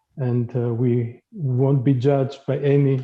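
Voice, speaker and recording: A man speaks with a Greek accent at medium pitch. His intonation is monotone and flat. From Greece. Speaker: diversity trainer. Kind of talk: workshop facilitation. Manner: hesitant, many fillers.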